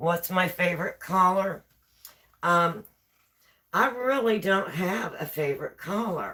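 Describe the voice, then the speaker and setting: A woman's medium-pitched voice with a West Virginia accent, bright and sharp in tone, at a fairly slow pace with long, frequent pauses and ordinary pitch variation. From West Virginia, rural. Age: 60s. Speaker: live streamer. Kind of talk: casual chat. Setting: home kitchen live stream.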